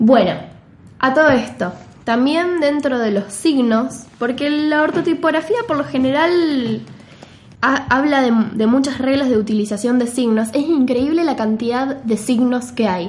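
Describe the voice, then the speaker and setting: Speaking at a fairly slow pace in a Rioplatense accent, a woman uses a high pitch with ordinary pitch variation, amid audible room echo and noticeable background noise. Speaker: podcast co-host, typography explainer. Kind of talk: casual chat.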